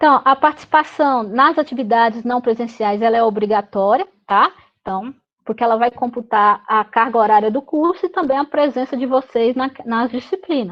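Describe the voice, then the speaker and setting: Moderate pace and ordinary pitch variation. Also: woman, high pitch for a woman. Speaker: university lecturer. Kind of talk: online meeting briefing. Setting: video call.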